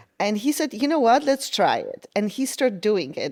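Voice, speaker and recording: A woman with a Polish accent and very wide pitch swings. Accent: Polish accent, noticeable. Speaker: design manager. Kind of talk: podcast interview.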